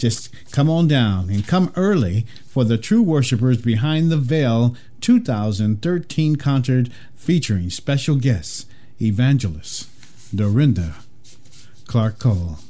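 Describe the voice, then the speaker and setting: This voice is somewhat breathy and warm in tone, with very wide pitch swings. Loudness stays very even at a very slow pace. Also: man, medium pitch for a man. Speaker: gospel radio host. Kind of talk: radio dj patter, gospel show host with ads and announcements. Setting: radio studio broadcast. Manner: warm, earnest, smooth and reverent radio-announcer delivery.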